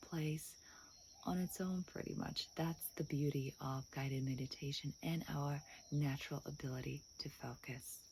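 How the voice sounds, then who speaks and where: Somewhat breathy and very deep in pitch, a woman speaks fairly slowly with fairly even intonation. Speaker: hypnotherapist. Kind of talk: guided meditation intro.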